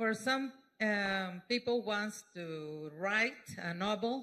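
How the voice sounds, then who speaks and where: Very slow speech in a Mexican accent, bright and sharp in tone, with ordinary pitch variation. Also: woman. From Mexico. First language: Spanish (speaking French). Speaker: speaker giving testimony. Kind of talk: testimony. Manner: halting.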